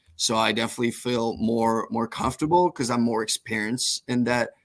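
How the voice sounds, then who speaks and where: With a slight French Canadian accent, a man talks at a fairly quick pace and medium pitch. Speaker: professional baseball pitcher. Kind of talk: podcast interview.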